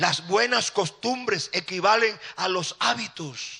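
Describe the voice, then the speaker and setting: At a very slow pace, a man speaks in a high pitch with a bright, sharp tone and ordinary pitch variation. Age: 60s. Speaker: pastor. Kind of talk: sermon.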